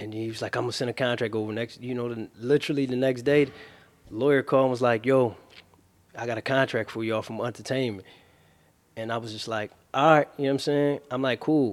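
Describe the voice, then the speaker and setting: The speech runs at a very fast pace with fairly even intonation. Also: man, medium pitch for a man. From Philadelphia, North Philly. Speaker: rapper. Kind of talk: interview. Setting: studio.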